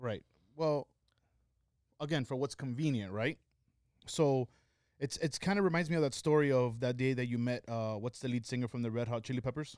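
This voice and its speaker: A man with a medium pitch talks at a fairly quick pace, using ordinary pitch variation and long, frequent pauses. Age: 30s. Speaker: podcast co-host. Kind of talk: casual chat.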